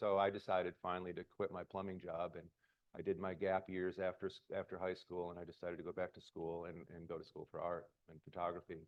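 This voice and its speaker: A man talks at a very fast pace in an American accent. His pitch is very deep and low. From US Midwest, Detroit, Michigan. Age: 60s. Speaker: photographer. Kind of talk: public talk. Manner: casual, halting with fillers.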